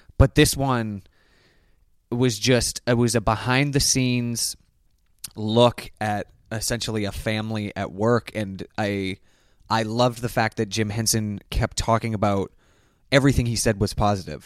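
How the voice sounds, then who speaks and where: A man with a Canadian accent speaks at a moderate pace and medium pitch with fairly even intonation and long, frequent pauses, recorded very cleanly against a silent background with a dry, close sound and no echo. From Canada. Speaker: comedian. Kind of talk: casual chat.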